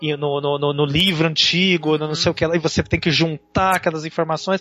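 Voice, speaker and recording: Music plays in the background as a man with a fairly high voice talks in a flat, monotone way. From Brazil. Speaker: blogger and film subtitler. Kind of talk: casual chat. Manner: halting.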